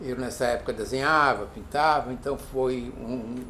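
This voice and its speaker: A man speaks at a medium pitch and a fairly slow pace. Audible room echo and noticeable background noise surround his voice. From Brazil, São Paulo city. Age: 70s. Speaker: film director. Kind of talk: interview. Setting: filmed interview. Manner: halting, with frequent restarts.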